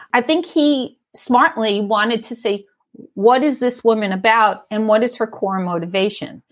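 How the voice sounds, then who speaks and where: An unremarkable speaking voice from a woman, fairly high in pitch, with ordinary pitch variation and a moderate pace. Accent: American. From New York, Staten Island. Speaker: executive leadership coach and design leader. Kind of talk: casual interview chat.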